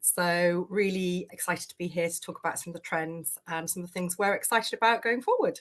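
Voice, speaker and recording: A woman with a British accent talks at medium pitch and a fairly quick pace, with hardly any pauses. Her intonation stays fairly even while her loudness swings widely. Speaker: talent acquisition head. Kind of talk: panel discussion.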